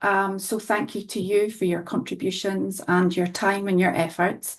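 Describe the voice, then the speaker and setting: Against a quiet background, a woman with a Scottish accent talks at a moderate pace and medium pitch. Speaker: qualitative health researcher. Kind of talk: research presentation.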